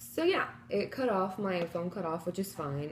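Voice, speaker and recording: A soft-spoken woman talks at a moderate pace against noticeable background noise. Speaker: vegan vlogger. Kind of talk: casual chat. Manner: loud. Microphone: too quiet.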